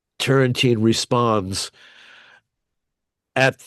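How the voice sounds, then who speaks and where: The man's voice is medium in pitch. The sound is dry and close with no echo, over a quiet background. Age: 70s. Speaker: researcher and musician. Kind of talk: panel discussion. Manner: halting.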